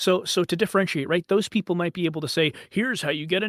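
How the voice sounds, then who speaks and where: On a very clean recording with a silent background, a man with a high pitch speaks at a very fast pace. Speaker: voice coach, voice actor. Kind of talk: casual talk, podcast interview answer.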